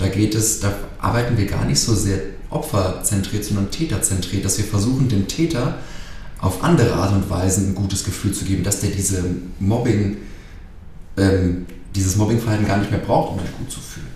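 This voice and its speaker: A man with a fairly low pitch and a calm tone talks at a moderate pace, with ordinary pitch variation and long, frequent pauses. Audible room echo and noticeable background noise surround him. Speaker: anti-bullying trainer for children. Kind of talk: interview.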